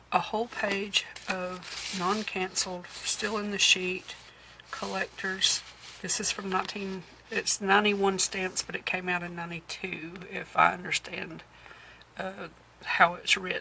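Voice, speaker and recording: Over noticeable background noise, a woman speaks at a fairly slow pace and medium pitch, her intonation monotone and flat. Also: big swings in loudness. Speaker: thrift haul vlogger and antique shop owner. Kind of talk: show-and-tell haul video. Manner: hesitant, many fillers.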